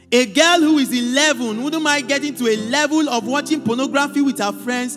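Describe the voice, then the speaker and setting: A man speaks at a fairly quick pace in an extremely high pitch, with ordinary pitch variation. Music plays in the background. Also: hardly any pauses. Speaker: spoken word performer at a church youth event. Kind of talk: spoken word poetry performance, preachy and rhythmic.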